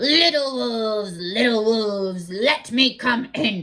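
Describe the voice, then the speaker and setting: Putting on a character voice, a woman speaks at a fairly high pitch and a fairly slow pace. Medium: read story. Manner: grunting, menacing.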